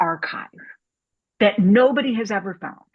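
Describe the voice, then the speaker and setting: A somewhat breathy woman with an American accent. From US Midwest, Saint Louis. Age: 60s. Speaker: documentary filmmaker. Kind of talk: casual talk. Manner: animated.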